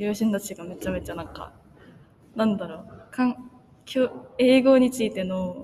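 A woman with a fairly high-pitched voice speaks in big swings of loudness, with long, frequent pauses and noticeable background noise. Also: ordinary pitch variation, moderate pace. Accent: Korean. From South Korea. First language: Korean (speaking Japanese). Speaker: language student. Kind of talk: casual interview.

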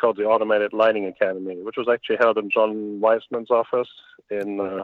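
A man with a German accent at medium pitch, very fast pace, and fairly even intonation. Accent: German, noticeable. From Germany. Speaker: lighting industry executive. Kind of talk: interview.

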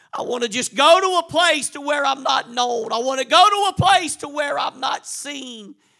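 Raising and projecting his voice, a man speaks at an extremely high pitch and a moderate pace, his tone animated and his intonation lively, with hardly any pauses. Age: 40s. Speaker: preacher. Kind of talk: sermon. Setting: church.

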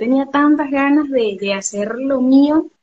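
With lively intonation, a woman delivers her words at a fairly slow pace. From Venezuela, Barcelona (Anzoátegui, eastern). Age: 30s. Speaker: travel agent. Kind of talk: interview.

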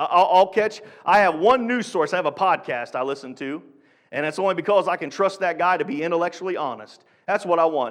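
A man's high-pitched, animated voice at a fairly quick pace, with lively intonation on a very clean recording with a silent background. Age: 40s. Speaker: guest preacher filling in for the pastor. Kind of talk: sermon. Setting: church service. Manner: animated, call-and-response exclamations.

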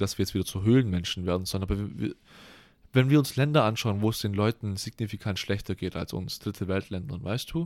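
An ordinary speaking voice comes through on a very clean recording with a silent background. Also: man. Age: 20s. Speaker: podcast co-host, university student. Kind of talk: casual chat.

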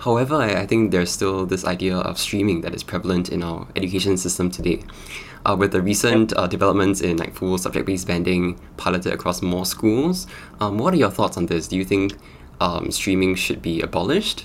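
This man's pace is fairly quick. His pitch is very deep and low. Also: ordinary pitch variation. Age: young. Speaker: podcast host. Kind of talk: interview.

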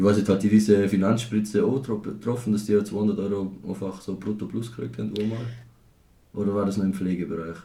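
Heard with audible room echo, a man with a strong Tyrolean accent talks fairly quickly in a dark, mellow tone at a fairly low pitch and with fairly even intonation. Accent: strong Reutte Tyrolean dialect. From Austria, Tyrol (Reutte district). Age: 20s. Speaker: podcast host. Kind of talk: casual chat.

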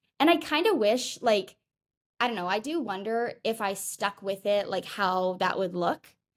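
A woman with a normal speaking voice talks at a moderate pace and fairly high pitch, with ordinary pitch variation. The recording is very clean, with a silent background. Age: 20s. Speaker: law student and fitness influencer. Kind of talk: casual chat.

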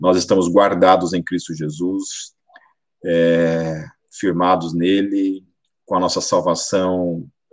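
Very slowly, a man talks in a very deep, low pitch. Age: 40s. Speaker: pastor. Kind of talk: sermon.

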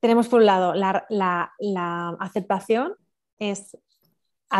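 A woman speaks at a medium pitch. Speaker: spiritual mentor. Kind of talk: interview.

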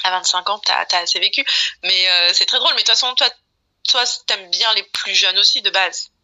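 Pausing often and at length, a woman speaks at a fairly quick pace with very even loudness. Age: 30s. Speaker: podcast guest. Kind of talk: casual chat.

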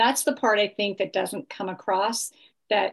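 Against a quiet background, a woman with an unremarkable speaking voice talks at a fairly high pitch with fairly even intonation. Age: 50s. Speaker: health coach. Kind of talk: interview.

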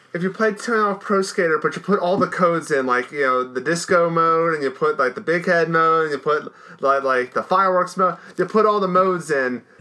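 Noticeable background noise sits behind this recording. A man talks at a fairly quick pace in a high pitch. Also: ordinary pitch variation. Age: 30s. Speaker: podcast co-host. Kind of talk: casual chat.

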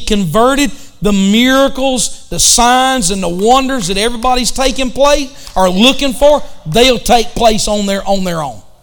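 A man with a Southern US accent speaks fairly slowly at an extremely high pitch. The room echo is audible and background noise is noticeable. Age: 50s. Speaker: pastor. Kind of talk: bible study.

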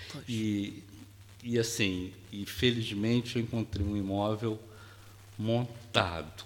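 A man's fairly low voice at a very slow pace, with fairly even intonation, big swings in loudness and long, frequent pauses. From Brazil, Rio de Janeiro. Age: 60s. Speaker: retired educator. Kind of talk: casual interview chat. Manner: calm, soft-spoken.

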